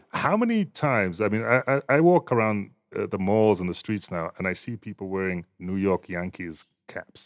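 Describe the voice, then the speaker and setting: With lively intonation, a man speaks at a moderate pace in an ordinary speaking voice. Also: fairly low pitch for a man. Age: 40s. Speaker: journalist and voice artist. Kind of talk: casual chat.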